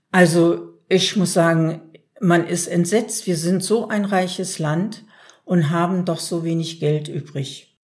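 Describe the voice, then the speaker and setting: A woman speaks at a very slow pace with a fairly low pitch and fairly even intonation. There is audible echo from the room. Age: 60s. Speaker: self-help group member. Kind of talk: interview.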